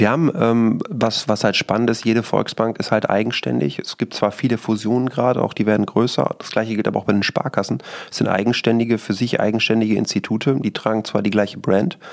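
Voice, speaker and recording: Over noticeable background noise, the speech runs at a very fast pace with hardly any pauses. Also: man, medium pitch for a man, ordinary pitch variation. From Münsterland, Germany (Rheine area). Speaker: real estate company CEO. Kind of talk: podcast interview.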